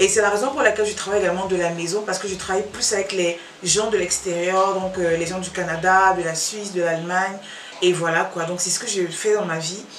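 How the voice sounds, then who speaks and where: A woman speaks at a fairly quick pace in a medium pitch, with fairly even intonation. Noticeable background noise and audible room echo are present. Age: 30s. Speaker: vlogger. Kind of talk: casual Q&A monologue to camera.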